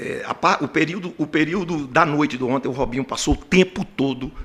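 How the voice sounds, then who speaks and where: At a moderate pace and with lively intonation, a man speaks in an ordinary speaking voice. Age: 60s. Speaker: football coach. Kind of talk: press conference.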